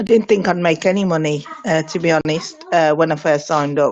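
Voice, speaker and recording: Speaking with a Birmingham accent, a woman uses a very deep, low pitch, fairly even intonation and a moderate pace. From Birmingham, England. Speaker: network marketer. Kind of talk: testimony.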